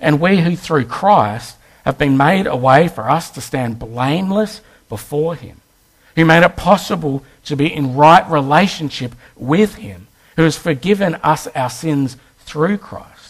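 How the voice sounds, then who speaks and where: A man with an Australian accent speaks fairly slowly in a fairly high voice. His intonation is lively, and his loudness swings widely. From Western Australia. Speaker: guest preacher. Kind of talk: sermon.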